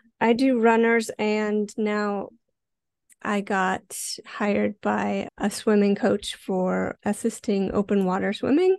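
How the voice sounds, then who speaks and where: A woman in an American accent speaks at a very slow pace, the sound dry and close with no echo. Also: quiet background. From Montana, US. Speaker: fitness coach. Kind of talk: interview.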